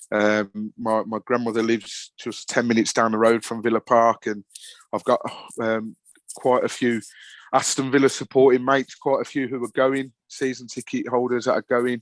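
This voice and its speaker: At a moderate pace, a man of medium pitch talks with a Birmingham accent and monotone, flat intonation, recorded dry and close with no echo. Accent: broad Brummie. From Birmingham, England. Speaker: football podcast presenter, fan. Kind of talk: casual chat. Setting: podcast interview.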